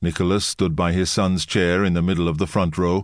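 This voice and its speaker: Very deep, low male voice at a moderate pace, over a quiet background. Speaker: audiobook narrator. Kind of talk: scripted audiobook narration of history, dramatic at the murder scene. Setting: studio. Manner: measured, grave, suspenseful storytelling pace; shifts into quoted dialogue for Yurovsky and Alexandra.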